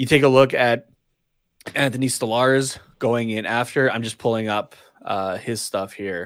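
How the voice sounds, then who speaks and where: A man talks in a normal speaking voice, medium in pitch, at a moderate pace. His intonation is fairly even, and the recording is very clean with a silent background. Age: 20s. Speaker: hockey podcast co-host. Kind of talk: casual chat. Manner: laughs often.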